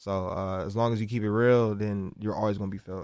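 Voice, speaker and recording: A man's plain, everyday voice with an American accent, fairly low in pitch and at a fairly quick pace. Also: very clean recording, silent background. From South Central Los Angeles. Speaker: rapper. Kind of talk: casual interview chat.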